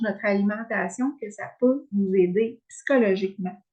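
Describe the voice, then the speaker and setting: A woman with a Quebec accent speaks in a somewhat breathy voice. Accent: Québécois French. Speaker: wellness coach. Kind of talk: online workshop presentation. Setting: video call with screen share. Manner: hesitant, many fillers.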